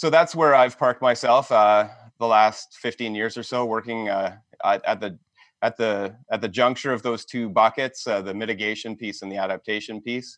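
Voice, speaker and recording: A man speaks at a medium pitch with a Canadian accent and ordinary pitch variation. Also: moderate pace. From southwestern Ontario, Canada. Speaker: environmental studies professor. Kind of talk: interview conversation. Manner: hesitant, many fillers.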